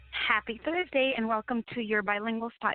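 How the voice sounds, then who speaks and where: Ordinary pitch variation runs through speech given with a Spanish accent. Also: woman. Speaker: radio host. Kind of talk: radio talk show monologue. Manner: occasional stumbles over words.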